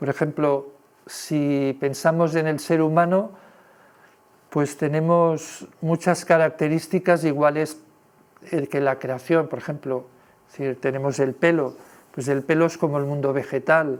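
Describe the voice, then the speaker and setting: With long, frequent pauses, a man speaks at a fairly slow pace and fairly high pitch with fairly even intonation. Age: 60s. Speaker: lecturer. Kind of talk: lecture. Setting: presentation with audience. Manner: hesitant, filler-heavy.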